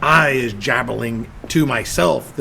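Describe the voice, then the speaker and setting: A man performs in a put-on character voice over clear background noise. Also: medium pitch for a man. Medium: read story. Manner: nervous.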